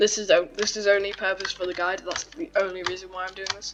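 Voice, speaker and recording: Noticeable background noise beneath fairly quick talking. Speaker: gaming tutorial creator. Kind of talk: gameplay tutorial. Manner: casual, slightly halting.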